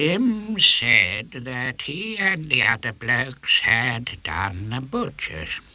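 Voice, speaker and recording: A put-on character voice at low-to-middle pitch moves at a very slow pace. There are hardly any pauses. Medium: read story. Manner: pompous, slow.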